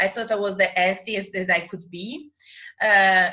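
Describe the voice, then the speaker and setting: A woman speaks with an Italian accent in a bright, sharp tone. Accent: Italian accent, noticeable. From Italy. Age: 30s. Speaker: makeup artist and network marketer. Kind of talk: group call presentation and testimony. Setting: recorded group call.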